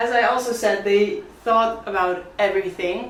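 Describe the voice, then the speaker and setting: A woman with a Dutch accent and ordinary pitch variation is heard with audible room echo and noticeable background noise. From Netherlands. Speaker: coffee vlogger, barista. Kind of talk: product review vlog. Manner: animated.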